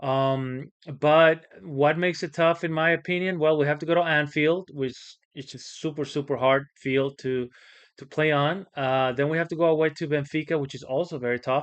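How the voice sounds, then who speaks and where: With a slight Spanish accent, a man speaks at a moderate pace and fairly high pitch with fairly even intonation. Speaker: football channel host. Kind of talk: casual vlog commentary. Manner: hesitant, many fillers.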